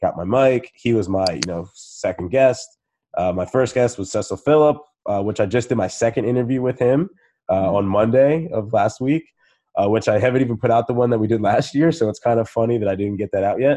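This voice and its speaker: A man talks in a plain, everyday voice at a medium pitch and a fairly quick pace, with ordinary pitch variation over a quiet background. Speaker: podcast host. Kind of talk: casual interview chat. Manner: casual, filler-heavy.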